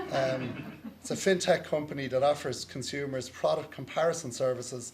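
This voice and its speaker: A man with an Irish accent, medium pitch, fairly even intonation and a fairly quick pace, in audible room echo. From Ireland. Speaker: lawyer moderating a conference panel. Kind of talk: conference panel introduction. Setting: conference stage with audience.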